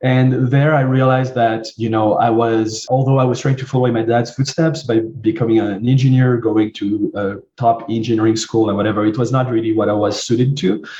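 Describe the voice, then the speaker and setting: A man with a French accent talks at a fairly quick pace and a medium pitch, his intonation fairly even and hardly any pauses, over noticeable background noise. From southern France. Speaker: marketing agency CEO. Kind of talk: interview. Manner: hesitant, many fillers.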